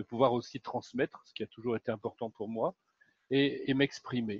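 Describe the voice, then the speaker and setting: Set against a quiet background, a man with a medium pitch speaks at a moderate pace in a dry, close sound with no echo. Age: 60s. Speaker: happiness coach. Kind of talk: interview. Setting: live video stream. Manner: halting, many fillers.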